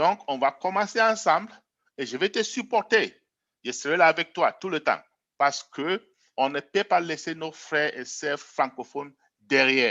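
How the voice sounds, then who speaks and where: Fairly slow, lively-toned speech from a man with a fairly high pitch, broken by long, frequent pauses. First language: English (speaking French). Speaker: network marketing presenter. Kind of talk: sales pitch. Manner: hesitant, repeats words.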